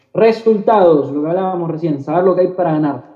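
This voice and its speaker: Audible room echo colors the voice of a high-pitched man whose pitch varies in an ordinary way. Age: 20s. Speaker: network marketing trainer. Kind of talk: motivational talk. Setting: video call.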